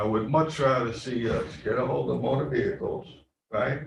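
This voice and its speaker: A man speaks at a moderate pace with a Bronx accent, and audible room echo surrounds his voice. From New York City, the Bronx. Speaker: county legislator. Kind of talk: committee meeting debate. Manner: conversational, emphatic.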